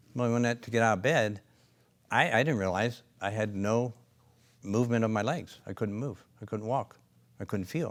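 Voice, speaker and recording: Moderate pace with long, frequent pauses and ordinary pitch variation, on a very clean recording with a silent background. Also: man, medium pitch for a man. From Pennsylvania, US. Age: 60s. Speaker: company founder and chiropractor. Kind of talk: interview storytelling. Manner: hesitant, many fillers.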